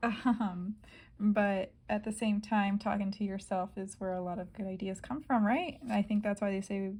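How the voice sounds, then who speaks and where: Somewhat breathy female speech with a dark, mellow tone. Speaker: planner vlogger. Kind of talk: casual plan-with-me narration. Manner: hesitant, many fillers.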